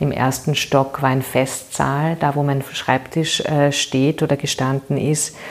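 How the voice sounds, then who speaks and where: A woman with a very deep, low pitch talks at a fairly slow pace in a monotone, flat intonation. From Vienna, Austria (Währing district). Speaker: political candidate, former NGO worker. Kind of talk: interview.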